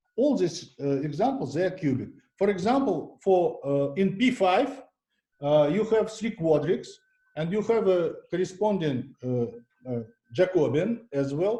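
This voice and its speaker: In a room with audible echo, a man with a non-native accent speaks at a fairly slow pace in a high, dark, mellow voice with very wide pitch swings. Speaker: mathematician giving a seminar talk. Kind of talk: lecture. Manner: halting, many fillers and restarts.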